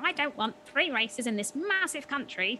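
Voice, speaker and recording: A put-on character voice, female-sounding and high-pitched. Background noise is clearly audible. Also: moderate pace. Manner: exaggerated, mocking.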